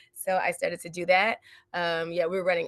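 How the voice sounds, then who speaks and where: A woman with an American accent speaks in an animated, bright and sharp tone. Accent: Southern accent reduced by diction training. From US South, South Carolina. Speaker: actress and acting coach. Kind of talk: casual interview.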